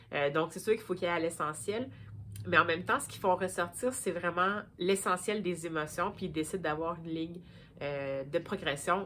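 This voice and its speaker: This woman's voice sits fairly low, with a bright, sharp tone and ordinary pitch variation. She talks at a moderate pace, her loudness swinging widely. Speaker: book vlogger. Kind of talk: casual vlog book review. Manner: hesitant, many fillers.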